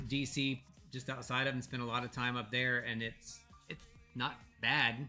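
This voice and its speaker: With an American accent, a man of medium pitch speaks at a moderate pace while music plays in the background. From Virginia, Norfolk area. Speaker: podcast co-host. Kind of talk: casual chat. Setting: live stream with video call participants. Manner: animated.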